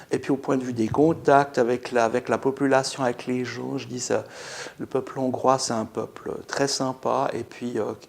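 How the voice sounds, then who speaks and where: A man speaks slowly at a medium pitch in a flat monotone. His voice has vocal fry. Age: 60s. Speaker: dental patient. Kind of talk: testimony. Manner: halting.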